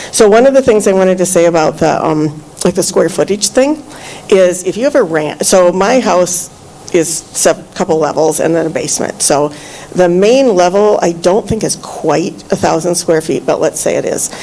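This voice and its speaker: A woman's medium-pitched voice with lively intonation at a moderate pace, over noticeable background noise. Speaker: public commenter, former planning commissioner. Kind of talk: public comment at meeting. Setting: township meeting room. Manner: loud; halting, many fillers.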